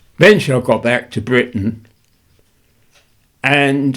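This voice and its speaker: Speaking at a fairly slow pace in an English accent, a man uses ordinary pitch variation. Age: 80s+. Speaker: war veteran; retired journalist. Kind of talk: interview answer.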